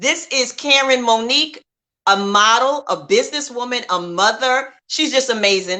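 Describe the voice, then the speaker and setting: A loud, high woman's voice with a bright, sharp tone, lively intonation and a moderate pace. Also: quiet background. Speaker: talk show host. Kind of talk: casual interview chat. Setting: livestream video.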